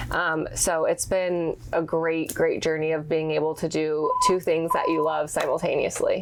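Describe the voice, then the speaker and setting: A woman talks at a moderate pace with hardly any pauses and very even loudness. Noticeable background noise runs behind her. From Texas, Houston area. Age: young. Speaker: commercial real estate broker and fashion blogger. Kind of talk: podcast interview.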